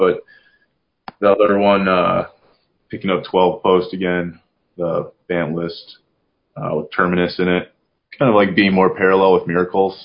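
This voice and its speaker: A man with a very deep, low pitch speaks at a moderate pace in a monotone, flat intonation, leaving long, frequent pauses. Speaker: podcast host. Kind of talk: casual chat.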